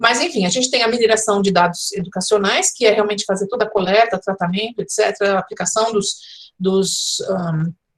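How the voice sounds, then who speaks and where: Her voice is somewhat breathy, with a medium pitch for a woman and fairly even intonation. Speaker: professor, educational design speaker. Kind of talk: online conference lecture. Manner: fast.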